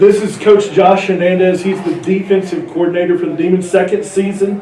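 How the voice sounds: A man's high-pitched voice, dark and mellow in tone, with fairly even intonation, a fairly quick pace and audible room echo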